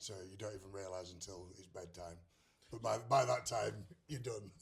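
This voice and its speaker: With an English accent, a man with a fairly low, somewhat breathy voice speaks at a moderate pace and ordinary pitch variation, with audible room echo. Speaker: country singer. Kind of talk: interview. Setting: music festival.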